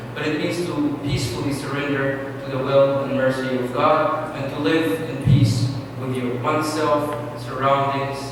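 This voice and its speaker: Amid noticeable background noise and audible room echo, a man speaks at a fairly slow pace with hardly any pauses, a fairly high pitch and monotone, flat intonation. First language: Arabic. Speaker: imam. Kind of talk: panel talk.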